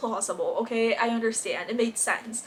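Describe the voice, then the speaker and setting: Background noise is noticeable here. The woman's voice sits fairly high. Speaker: booktube reviewer. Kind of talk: casual book review vlog. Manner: fast; animated.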